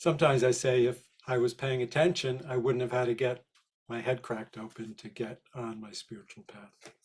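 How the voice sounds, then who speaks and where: A somewhat breathy man at a medium pitch and fairly quick pace, with fairly even intonation and big swings in loudness. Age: 60s. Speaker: spiritual healer and therapist. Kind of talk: interview.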